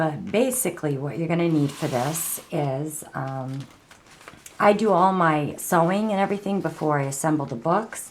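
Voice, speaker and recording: Over noticeable background noise, a woman with a fairly low voice speaks at a moderate pace with lively intonation. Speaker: crafter / art tutorial maker. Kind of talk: tutorial. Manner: halting, many fillers and repetitions; casual.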